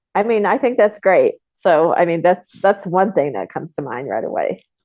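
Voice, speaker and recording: Vocal fry runs through a woman's voice as she speaks with lively intonation. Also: medium pitch for a woman, moderate pace. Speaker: film co-producer. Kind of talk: interview answer.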